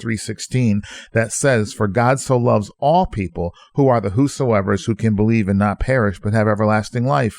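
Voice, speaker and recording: Recorded very cleanly against a silent background, a man speaks in a plain, everyday voice. His pitch is fairly low, with ordinary variation, at a moderate pace. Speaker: pastor. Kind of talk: sermon-style radio teaching.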